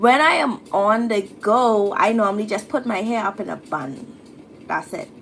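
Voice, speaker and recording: Over noticeable background noise, a woman with a Bahamian accent speaks fairly slowly at a fairly high pitch. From Bahamas. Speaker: YouTuber answering hair and style questions. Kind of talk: live stream Q&A. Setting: live stream. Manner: casual, chatty.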